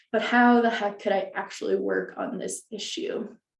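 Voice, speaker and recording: A woman takes a fairly slow pace while audible room echo fills the space around her voice. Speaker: librarian presenter. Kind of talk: webinar presentation.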